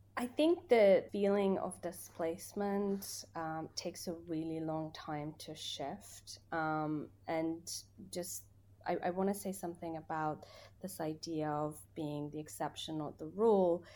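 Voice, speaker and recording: A woman speaks at a fairly slow pace in a fairly low pitch with a dark, mellow tone and ordinary pitch variation. The recording is very clean with a silent background. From Afghanistan (Kabul), moved to UK at 15. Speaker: refugee education worker. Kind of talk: podcast interview. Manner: hesitant, many fillers.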